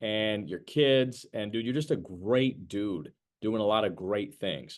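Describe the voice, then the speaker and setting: Here a man has an animated tone. He talks fairly slowly and at a fairly low pitch. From New Jersey, US. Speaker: sales trainer. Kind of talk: sales training webinar.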